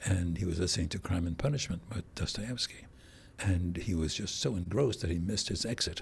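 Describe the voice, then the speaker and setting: At a fairly quick pace, a man talks in a very deep, low, somewhat breathy voice with ordinary pitch variation. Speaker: audiobook narrator. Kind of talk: interview.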